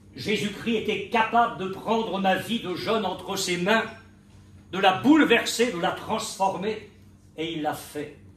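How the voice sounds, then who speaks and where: A man with a high pitch talks at a very slow pace. The room adds audible echo. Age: 70s. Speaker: pastor. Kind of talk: sermon. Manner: animated.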